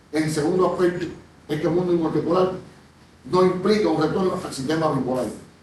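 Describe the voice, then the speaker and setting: A man's fairly quick speech with audible room echo. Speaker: panel moderator and researcher. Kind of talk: conference presentation. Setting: conference panel with audience.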